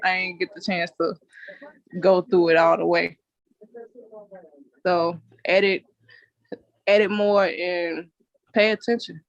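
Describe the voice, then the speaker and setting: A woman speaks at a medium pitch in a monotone, flat intonation, at a fairly slow pace with long, frequent pauses, in a dry, close sound with no echo. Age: 20s. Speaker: content creator. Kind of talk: interview answer. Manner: casual.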